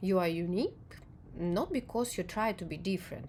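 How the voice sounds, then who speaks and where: Speech with a non-native accent moves at a moderate pace. The intonation is lively. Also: woman. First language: not English. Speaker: video essayist on perception and emotion. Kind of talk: reflective monologue to camera. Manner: halting, with frequent fillers.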